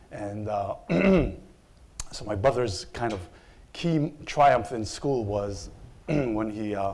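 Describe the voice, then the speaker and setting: Audible room echo surrounds a man's voice. His pitch is fairly low, with ordinary pitch variation. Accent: Israeli. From Israel. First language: Hebrew. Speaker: opinion researcher. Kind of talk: panel presentation.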